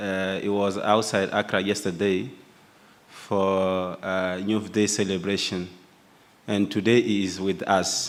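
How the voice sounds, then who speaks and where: Speaking very slowly in a flat, monotone way, a man with a French accent has a fairly low pitch. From Burkina Faso. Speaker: youth union representative. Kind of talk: speech at opening ceremony. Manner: halting.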